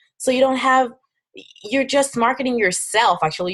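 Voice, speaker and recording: A woman with a French accent speaks in an animated tone. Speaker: fitness coach. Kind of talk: webinar presentation. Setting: online webinar with screen share. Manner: halting.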